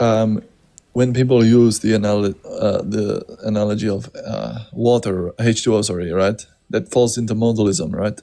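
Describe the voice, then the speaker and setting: With a non-native accent, the speaker's dark, mellow tone holds a fairly even intonation. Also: man, fairly low pitch for a man, moderate pace. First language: not English. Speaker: panel participant. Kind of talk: casual debate stream chat. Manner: halting.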